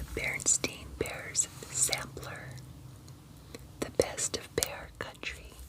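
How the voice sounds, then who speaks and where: A woman's whisper at a very slow pace over noticeable background noise. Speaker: storyteller reading to grandchildren. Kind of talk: children's picture book read-aloud. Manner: soft-spoken.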